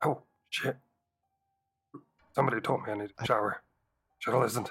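Putting on a raspy character voice, a man speaks fairly quickly at a medium pitch. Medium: actual play. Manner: casual, rambling.

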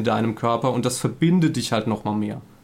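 A man speaks fairly quickly in a normal speaking voice, his pitch varying in an ordinary way. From Saarland, Germany. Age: 30s. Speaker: couples therapist and gaming streamer. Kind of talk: casual podcast interview.

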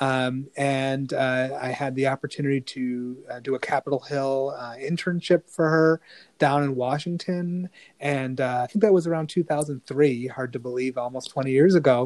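Heard as dry and close with no echo, an unremarkable speaking voice goes at a moderate pace with fairly even intonation. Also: man, medium pitch for a man. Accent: American. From Rochester, New York. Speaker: lawyer and state senate candidate. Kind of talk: interview. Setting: remote call.

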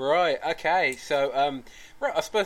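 A man speaks with a Midlands accent. His pace is moderate. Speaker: podcast host. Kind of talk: casual chat.

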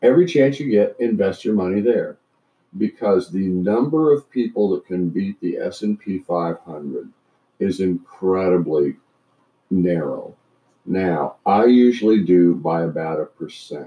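With an American accent, a man talks in a normal speaking voice, fairly low in pitch, with lively intonation. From Canada and US Midwest. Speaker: retired trial lawyer. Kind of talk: casual chat.

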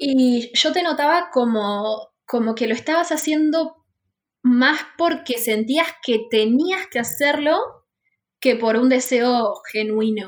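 Very slow pace from a woman with a high pitch and lively intonation. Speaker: podcast host, freelance art teacher. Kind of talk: casual chat.

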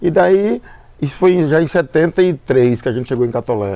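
Lively intonation from a man with a fairly high pitch. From Brazil, Paraíba (Northeast). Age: 60s. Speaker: musician. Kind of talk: casual interview. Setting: at his home. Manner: halting, many repetitions.

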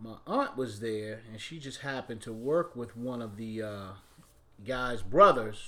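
Speaking at a moderate pace and medium pitch, a man with an American accent has a bright, sharp tone. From Washington, D.C. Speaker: singer, go-go musician. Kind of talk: interview, telling stories about his career.

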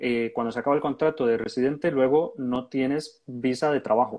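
A man talks at a medium pitch and a moderate pace, with ordinary pitch variation. An ordinary speaking voice. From Costa Rica. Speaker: podcast host, urology resident doctor. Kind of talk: casual interview chat.

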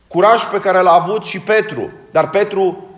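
Moderate pace from a man, noticeable background noise around him. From Romania. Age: 40s. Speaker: Orthodox priest. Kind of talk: sermon.

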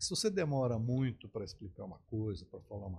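A somewhat breathy man of medium pitch, his pitch swinging very widely, at a fairly quick pace. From southern Brazil, Porto Alegre. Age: 60s. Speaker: advertising executive and media entrepreneur. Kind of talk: podcast interview.

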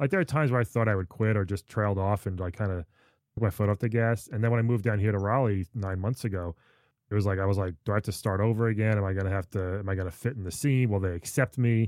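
Very fast and in an American accent, a man with a fairly low pitch speaks on a very clean recording with a silent background and a dry, close sound with no echo. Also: fairly even intonation. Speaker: comedian. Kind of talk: casual chat.

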